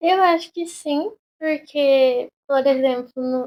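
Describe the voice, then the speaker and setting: A woman speaks in a high pitch. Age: young. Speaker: podcast guest. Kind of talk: podcast interview. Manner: casual.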